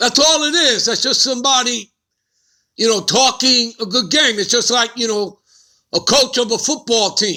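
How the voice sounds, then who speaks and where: The speaker uses a New York accent at a moderate pace. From US Northeast, Bronx, New York. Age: 60s. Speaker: religious teacher. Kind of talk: lesson. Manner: casual.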